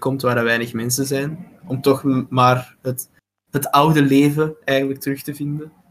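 Flat and monotone, a man talks at a medium pitch. He has a Flemish accent and a moderate pace. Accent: Flemish Dutch. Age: 20s. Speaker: student association vice president. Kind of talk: casual chat.

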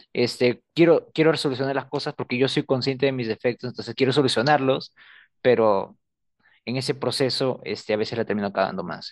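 Against a quiet background, a man at a medium pitch is heard with a dry, close sound and no echo. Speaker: student podcast co-host. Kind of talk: casual chat. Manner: reserved, few words.

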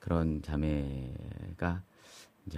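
A man's voice with a very deep, low pitch. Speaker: pastor who repairs guitars. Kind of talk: interview. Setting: studio.

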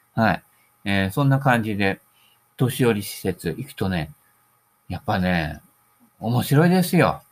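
Speaking at a fairly slow pace with long, frequent pauses, a man uses a fairly low voice with very wide pitch swings. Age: 60s. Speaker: solo podcaster / golf hobbyist. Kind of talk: casual monologue. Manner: relaxed, rambling.

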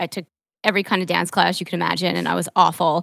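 In an American accent, a woman uses an ordinary speaking voice at a fairly low pitch with fairly even intonation, the sound dry and close with no echo. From New York, Long Island. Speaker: podcast host and marketing entrepreneur, triathlon coach. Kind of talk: casual interview. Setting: video call from her apartment.

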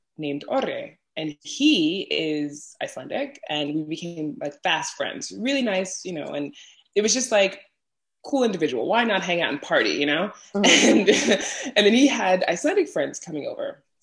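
In a New York accent, a woman speaks at a moderate pace with a medium pitch. Her pitch swings very widely. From New York City, Brooklyn. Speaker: podcaster and travel content creator. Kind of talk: casual interview chat.

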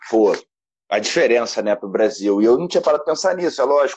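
A man's pitch swings very widely. He also talks at a very fast pace. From Brazil. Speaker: podcast host. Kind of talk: interview.

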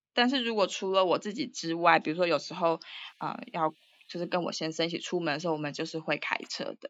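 Talking at a very fast pace, a woman uses a fairly low pitch with ordinary variation. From Taiwan, Taipei. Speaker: writer and Chinese teacher. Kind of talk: casual interview. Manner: hesitant with many fillers.

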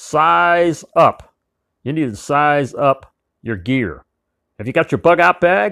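Very slow and broken by long, frequent pauses, a man's fairly high voice makes very wide pitch swings in a very clean recording with a silent background and a dry, close sound with no echo. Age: 70s. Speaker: survival preparedness podcaster. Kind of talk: solo podcast monologue. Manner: emphatic, hectoring.

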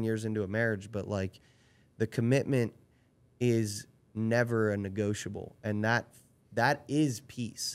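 A man with an ordinary speaking voice keeps a medium pitch and fairly even intonation. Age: 30s. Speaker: podcast guest, friend of host. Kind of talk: casual chat.

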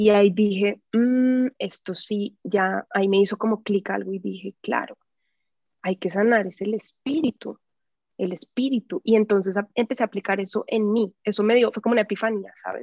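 A woman's plain, everyday voice at medium pitch, with fairly even intonation and a moderate pace. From Colombia, Bogotá. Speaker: actress and healing coach. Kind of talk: casual interview.

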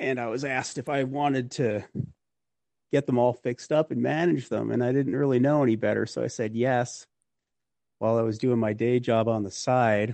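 A man with a plain, everyday voice speaks at a medium pitch and a moderate pace, keeping his intonation fairly even. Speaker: real estate investor. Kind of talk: interview, casual conversation.

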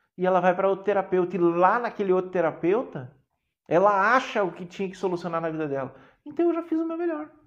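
A man with a warm tone and a high pitch talks at a fairly quick pace over a quiet background. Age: 40s. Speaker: therapist and mentor, podcast host. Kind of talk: live-streamed talk to viewers. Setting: online live stream. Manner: warm, conversational.

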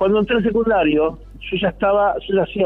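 A man with a Rioplatense accent. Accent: Argentine Rioplatense Spanish. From Argentina, Mar del Plata. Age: 60s. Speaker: pianist and composer. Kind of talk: radio interview.

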